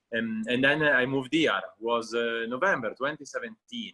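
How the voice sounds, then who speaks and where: An Italian accent at a moderate pace, in a dry, close sound with no echo. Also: man. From Italy, Genoa (Liguria). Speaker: restaurant owner. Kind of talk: casual interview chat. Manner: halting, many fillers.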